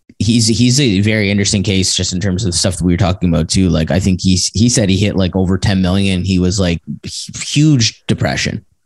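A man's very deep, low voice at a fairly quick pace, with very even loudness and ordinary pitch variation. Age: 30s. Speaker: brand storytelling marketer. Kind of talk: casual interview. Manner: hesitant, many fillers.

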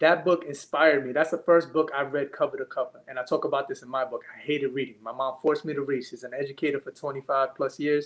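Speaking at a very fast pace, a man with an American accent has a fairly high pitch and monotone, flat intonation. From Brooklyn, New York. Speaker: education consultant and speaker. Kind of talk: casual chat.

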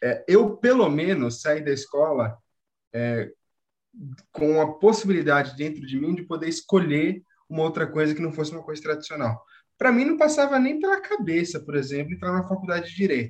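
A man with a plain, everyday voice speaks at a moderate pace. His pitch is fairly high, with lively intonation. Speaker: former Waldorf student, university student. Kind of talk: casual chat.

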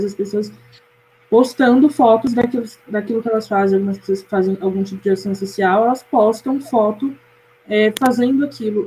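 Noticeable background noise beneath speech with fairly even intonation. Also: woman. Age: 20s. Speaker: university student, media analyst. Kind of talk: casual chat.

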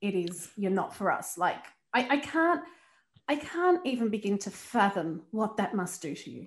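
Somewhat breathy, a woman's voice moves through very wide pitch swings and big swings in loudness. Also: medium pitch for a woman, moderate pace. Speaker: podcast host. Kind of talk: interview; scripted intro.

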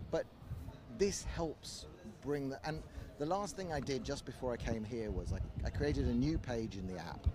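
At a moderate pace, a man with a medium pitch and a dark, mellow, somewhat breathy tone speaks with very wide pitch swings. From South Africa. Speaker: conference speaker, podcasting tech advocate. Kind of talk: casual interview chat. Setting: outdoors in the shade at a conference.

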